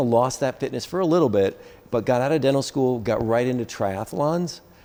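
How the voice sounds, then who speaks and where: A man speaks at a fairly quick pace and with ordinary pitch variation, noticeable background noise audible behind him. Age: 60s. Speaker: dentist and masters CrossFit athlete. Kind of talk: interview. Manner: halting.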